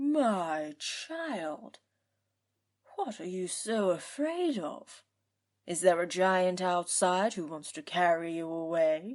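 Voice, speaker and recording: A woman's put-on character voice at medium pitch, very slow, with lively intonation and big swings in loudness. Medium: read story.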